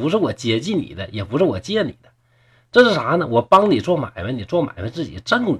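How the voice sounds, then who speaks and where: A man talks at a fairly quick pace with a fairly high pitch that makes very wide swings, plus vocal fry. The background is quiet. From Shenyang, Liaoning, northeast China. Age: 40s. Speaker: storyteller podcaster. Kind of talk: storytelling narration. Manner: animated.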